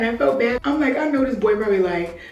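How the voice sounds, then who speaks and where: There is noticeable background noise and audible room echo. A woman with a fairly high pitch speaks with lively intonation. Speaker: lifestyle vlogger. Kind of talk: casual vlog chat. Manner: loud; animated.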